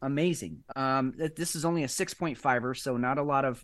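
A man with an American accent speaks in an unremarkable speaking voice at medium pitch. His pace is moderate, his pitch variation ordinary, and the background is quiet. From United States. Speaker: podcast co-host. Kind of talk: casual chat. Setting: studio.

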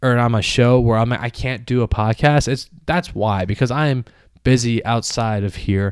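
On a very clean recording with a silent background, a man uses a normal speaking voice at a medium pitch and a moderate pace. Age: 30s. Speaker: sports podcast host. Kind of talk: solo podcast monologue. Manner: casual, rambling with fillers.

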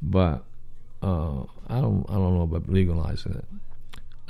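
A man speaks in a Southern US accent. His tone is dark and mellow. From US South. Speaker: podcast host. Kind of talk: casual solo stream-of-consciousness talk. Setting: home, late night, live stream. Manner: rambling, casual.

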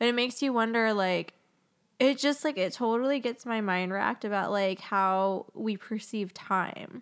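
With an American accent, a woman speaks in an unremarkable speaking voice at a fairly high pitch, a moderate pace and ordinary pitch variation, in a very clean recording with a silent background. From US Southwest, Phoenix. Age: 30s. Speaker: podcast host. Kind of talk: casual chat.

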